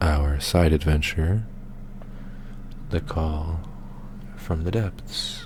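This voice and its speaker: A man with a very deep, low voice is soft-spoken and relaxed, with fairly even intonation. He talks at a very slow pace with long, frequent pauses over noticeable background noise. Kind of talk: soft-spoken ASMR gaming commentary. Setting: gameplay recording with game audio. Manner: soft-spoken, relaxed.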